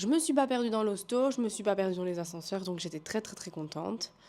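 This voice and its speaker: This woman's voice has a dark, mellow tone. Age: 20s. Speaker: vlogger. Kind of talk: casual vlog talk.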